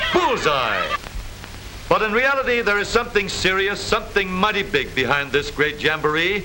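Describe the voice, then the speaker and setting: A man's raised, projected voice, high-pitched for a man, at a moderate pace with very wide pitch swings amid noticeable background noise. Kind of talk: vintage newsreel narration, humorous. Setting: old film soundtrack.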